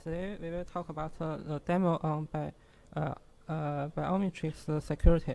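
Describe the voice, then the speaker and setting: A strong Chinese accent at a moderate pace. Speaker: security researcher. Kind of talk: technical presentation. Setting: workshop audience. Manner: halting, many fillers.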